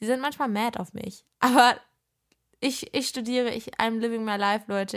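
A woman speaks at a moderate pace in an ordinary speaking voice, fairly high with ordinary pitch variation. The recording is very clean, with a silent background. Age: 20s. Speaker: podcast host and social media creator. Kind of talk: casual solo podcast chat.

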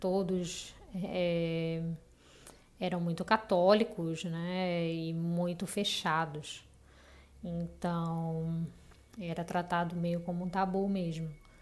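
In monotone, flat intonation, a woman of fairly low pitch speaks at a very slow pace with long, frequent pauses. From Recife, Brazil. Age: 30s. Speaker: listener sharing a paranormal story. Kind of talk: personal storytelling.

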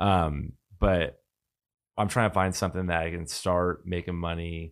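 A man's very deep, low voice with an American accent, flat monotone delivery and a fairly slow pace, on a very clean recording with a silent background. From Washington State, US Pacific Northwest. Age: 30s. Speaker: podcast guest, tech and business professional. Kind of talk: casual chat. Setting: studio.

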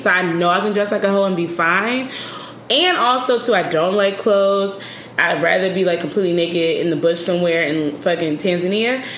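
The recording has audible room echo with clear noise behind it. A woman talks with typical pitch movement. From Philadelphia. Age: 30s. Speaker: travel blogger. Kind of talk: casual chat.

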